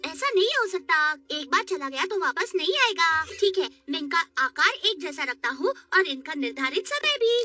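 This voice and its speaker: A put-on character voice at extremely high pitch, upbeat in tone, at a moderate pace over faint music in the background. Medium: fan dub. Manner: friendly, upbeat.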